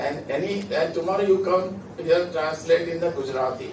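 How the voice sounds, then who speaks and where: Through audible room echo and noticeable background noise, a man speaks at a fairly slow pace. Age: 60s. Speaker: law expert panelist. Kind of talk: Q&A answer at a conference. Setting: conference hall with audience.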